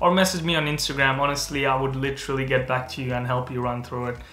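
Speech races along at a very fast pace with fairly even intonation and audible echo from the room. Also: man. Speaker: medical student youtuber. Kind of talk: casual explainer vlog. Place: home room.

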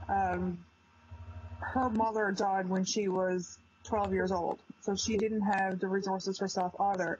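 A somewhat breathy woman talks at a fairly slow pace in a monotone, flat intonation with very even loudness. The sound is dry with no echo, over light background noise. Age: 20s. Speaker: PTSD survivor. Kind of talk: testimony. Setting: video call. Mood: somber, recounting painful past. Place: home room. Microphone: video call.

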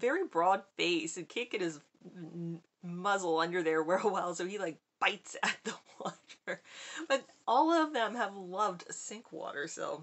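A woman at a moderate pace, with big swings in loudness. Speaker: subscription box reviewer. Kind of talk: casual unboxing vlog chat. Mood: cheerful, chatty. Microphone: webcam.

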